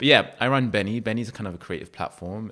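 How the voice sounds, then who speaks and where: In a London accent, a man with a bright, sharp tone and lively intonation talks very fast over a very clean recording with a silent background. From London, England. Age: 30s. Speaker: creative platform founder. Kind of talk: podcast interview.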